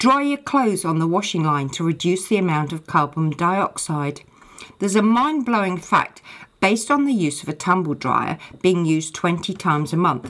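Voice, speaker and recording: At a moderate pace, a woman with a fairly low pitch speaks with very wide pitch swings. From England. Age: 60s. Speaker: podcast host. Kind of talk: casual chat; scripted narration.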